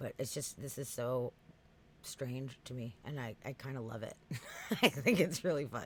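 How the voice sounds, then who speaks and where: In an East Coast US accent, the speaker talks at a moderate pace in an animated tone, with long, frequent pauses. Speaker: podcast host. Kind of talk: casual chat. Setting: live stream.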